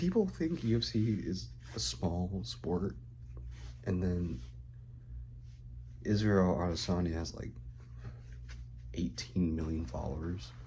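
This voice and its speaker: A man whispers with vocal fry at a fairly slow pace. Long, frequent pauses break up his speech, and room echo is audible. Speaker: vlogger. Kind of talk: casual vlog monologue. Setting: at home, roommate nearby. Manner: whispering.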